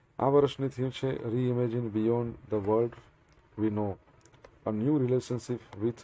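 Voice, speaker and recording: A man speaks with a dark, mellow tone. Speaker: current affairs teacher. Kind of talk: lecture.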